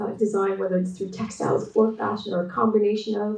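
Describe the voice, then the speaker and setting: Against noticeable background noise and audible room echo, a woman speaks at a medium pitch. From Canada. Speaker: textile artist and designer, keynote speaker. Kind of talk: conference presentation. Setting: remote talk joining online. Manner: hesitant with frequent fillers and repetitions.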